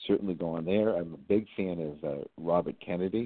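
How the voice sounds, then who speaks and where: At a moderate pace, a man with an American accent talks in a very deep, low pitch. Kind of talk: casual chat. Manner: halting, with many fillers.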